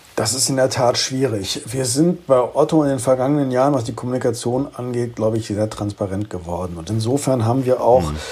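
There is noticeable background noise as a man talks at a fairly quick pace. His voice is medium-pitched with ordinary pitch variation. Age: 50s. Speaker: corporate communications head. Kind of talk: interview. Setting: home office remote connection.

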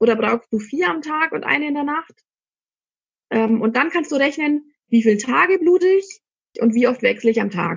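A woman's high voice with very wide pitch swings and long, frequent pauses. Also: moderate pace. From Germany, Middle Franconia (Ansbach). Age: 30s. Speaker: shop owner selling cloth pads. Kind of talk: interview. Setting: studio.

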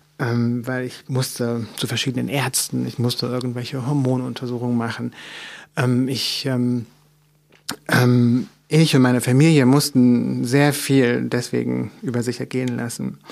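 Monotone, flat intonation fills a man's fairly slow speech. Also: medium pitch for a man. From Mecklenburg, eastern Germany. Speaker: author. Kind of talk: interview.

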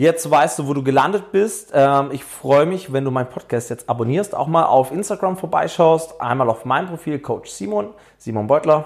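A man with a fairly high pitch and lively intonation talks at a moderate pace in an unremarkable speaking voice. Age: 30s. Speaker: fitness coach and podcast host. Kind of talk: podcast intro monologue. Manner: casual, with fillers.

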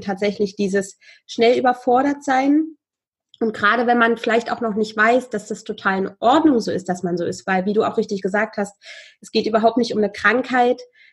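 Against a quiet background, a woman speaks fairly quickly in a somewhat breathy, fairly high voice with fairly even intonation. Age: 30s. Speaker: podcast host, guest speaking about high sensitivity. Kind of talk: casual interview. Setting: video call.

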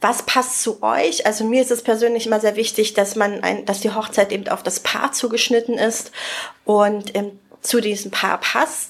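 A woman with a fairly high voice keeps her intonation fairly level while noticeable noise sounds behind her. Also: moderate pace. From Spreewald, eastern Germany (Brandenburg). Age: 30s. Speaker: wedding planner. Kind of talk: casual interview. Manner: frequent laughter.

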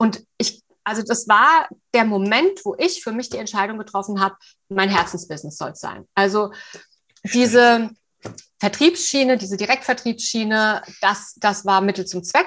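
A woman uses an ordinary speaking voice at a moderate pace, with big swings in loudness. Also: fairly high pitch for a woman, lively intonation, quiet background. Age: 50s. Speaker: coach for eating disorders. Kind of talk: interview.

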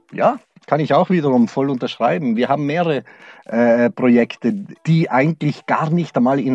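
Recorded dry and close with no echo, a man with a fairly high pitch speaks at a moderate pace, his intonation lively. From South Tyrol (Brixen), Italy. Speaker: regional tourism executive. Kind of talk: interview. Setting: converted freight-elevator sound studio.

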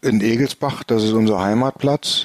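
A man talks fairly slowly at a fairly low pitch, with ordinary pitch variation. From northern Germany, Bremen. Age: 60s. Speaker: flying club chairman, former air traffic controller. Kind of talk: casual interview. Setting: remote from home.

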